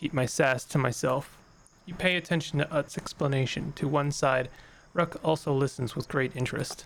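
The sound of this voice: The voice is unforced. It is an unforced reading voice.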